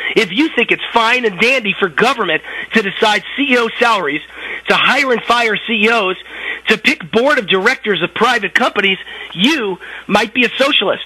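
Over noticeable background noise, a man speaks in a raised, projected voice at a moderate pace. His pitch is high with ordinary variation, and his loudness stays very even. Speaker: political commentator. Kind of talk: political commentary.

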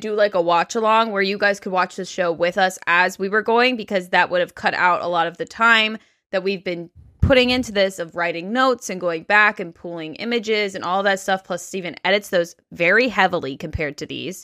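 Over a quiet background, a woman talks at a fairly quick pace with ordinary pitch variation. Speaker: podcast co-host. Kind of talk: casual podcast chat. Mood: candid, a bit weary. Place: home room. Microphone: studio mic.

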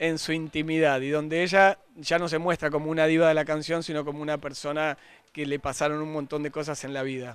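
At a fairly quick pace, a man speaks in monotone, flat intonation with a dry sound with no echo. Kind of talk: interview answer. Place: street. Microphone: handheld.

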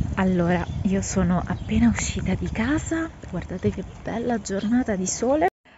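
A woman at a moderate pace, dry sound with no echo, over noticeable background noise. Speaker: vlogger. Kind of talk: casual vlog monologue. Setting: outdoors. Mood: relaxed, chatty.

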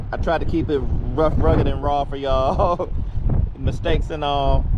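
Speech at a moderate pace comes through dry with no echo, over loud background noise. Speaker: motovlogger. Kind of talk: casual vlog chat. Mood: relaxed, upbeat. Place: waterside. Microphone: phone near.

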